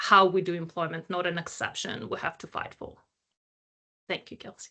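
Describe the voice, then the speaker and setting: A woman's bright, sharp tone at a fairly low pitch, monotone and flat in intonation, at a moderate pace with big swings in loudness. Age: 30s. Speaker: employment researcher. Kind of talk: panel discussion.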